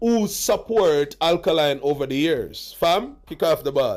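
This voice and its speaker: A loud man talks at a fairly slow pace. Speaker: dancehall commentary vlogger. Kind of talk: reaction commentary. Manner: loud and emphatic.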